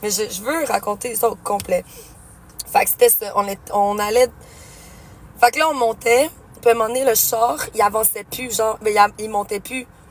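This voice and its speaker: A woman with a Quebec accent speaks at a moderate pace in a fairly high voice, her tone animated and her pitch varying in an ordinary way. Her loudness swings widely, and she leaves long, frequent pauses. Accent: Québécois French. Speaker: streamer. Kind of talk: casual storytelling.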